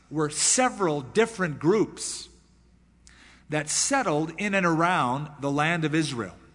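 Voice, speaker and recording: A man speaks in a plain, everyday voice at a fairly high pitch. His pace is fairly slow and his intonation lively. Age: 30s. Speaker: pastor. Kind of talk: sermon.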